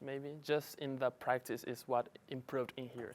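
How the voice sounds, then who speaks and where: With a Spanish accent, a man speaks at a moderate pace and a medium pitch in a monotone, flat intonation. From Paraguay, Asunción. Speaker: international student worker. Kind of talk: interview testimony.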